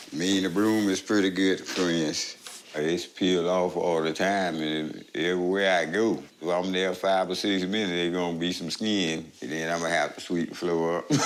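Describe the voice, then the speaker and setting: With noticeable background noise behind it, the voice moves at a moderate pace with hardly any pauses and a monotone, flat intonation. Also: man, very deep, low pitch for a man. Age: 60s. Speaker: patient. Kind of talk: testimony.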